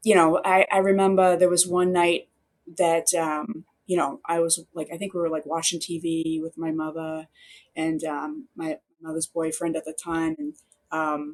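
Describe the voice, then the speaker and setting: A woman talks with a fairly low pitch, keeping her intonation fairly even and her pace moderate. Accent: strong Boston. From Boston. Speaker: newspaper reporter. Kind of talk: interview answer. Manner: casual, chatty.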